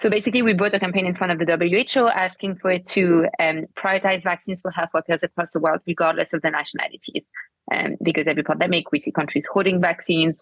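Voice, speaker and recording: Very fast speech with hardly any pauses. The intonation stays fairly even. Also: woman, fairly low pitch for a woman. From France. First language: French. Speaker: political party co-founder. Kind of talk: interview.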